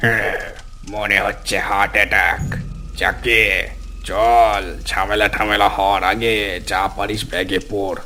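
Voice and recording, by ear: A man's cartoonish character voice, fairly low in pitch, at a very slow pace, with clear background noise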